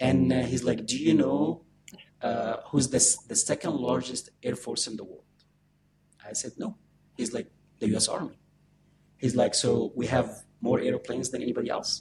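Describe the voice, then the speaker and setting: A man with an Arabic accent at a moderate pace, broken by long, frequent pauses. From Egypt (Alexandria). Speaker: army veteran and author. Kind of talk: interview storytelling. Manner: halting, many fillers.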